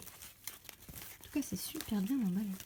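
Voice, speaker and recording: Lively intonation in a fairly high-pitched woman's voice. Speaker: polymer clay sculptor. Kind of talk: casual talk to camera, unboxing. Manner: frequent squeals of delight.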